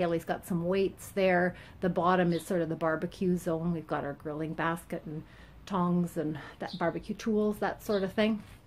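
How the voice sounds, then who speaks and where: A woman talks at a moderate pace in a normal speaking voice, fairly low in pitch with fairly even intonation. Light background noise sits behind her. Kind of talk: tutorial walkthrough. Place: garage. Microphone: phone near.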